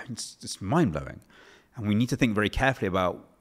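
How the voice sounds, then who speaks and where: A man speaks with an English accent in a fairly low-pitched voice. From England. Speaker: author and policy researcher. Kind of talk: interview.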